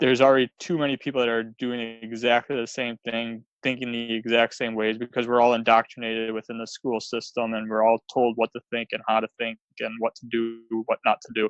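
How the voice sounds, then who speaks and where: Talking at a fairly quick pace, a man with a Wisconsin accent keeps a medium pitch and a monotone, flat intonation. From US Midwest, Wisconsin. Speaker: author and speaker. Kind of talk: podcast interview.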